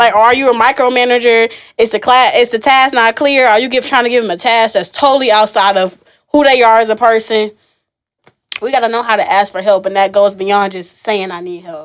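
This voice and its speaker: A woman with an ordinary speaking voice talks at a fairly quick pace and fairly high pitch, with ordinary pitch variation and big swings in loudness. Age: 20s. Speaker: event curator and business owner. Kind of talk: casual interview.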